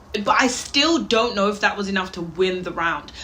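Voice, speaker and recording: There is audible room echo as a woman speaks at a medium pitch and a fairly quick pace. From Wales, Birmingham area. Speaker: reaction youtuber. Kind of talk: reaction commentary.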